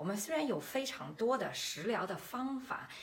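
This woman talks at a fairly slow pace. Audible room echo and noticeable background noise surround her voice. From Beijing, China. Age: 40s. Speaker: podcast host and health-nutrition entrepreneur. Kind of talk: promotional monologue. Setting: livestream.

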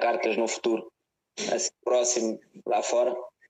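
Fairly slow speech from a man at a medium pitch. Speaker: podcast host. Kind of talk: casual interview.

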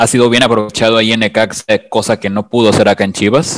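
An unremarkable speaking voice from a man, medium in pitch and at a fairly quick pace, with a dry, close sound and no echo. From Mexico. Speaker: podcast co-host, fan. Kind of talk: casual podcast chat.

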